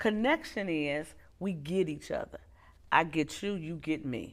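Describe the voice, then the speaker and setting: A woman with an American accent speaks fairly slowly at a fairly low pitch, captured in a very clean recording with a silent background. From Detroit, US Midwest. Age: 60s. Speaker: psychologist. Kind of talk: interview. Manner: animated.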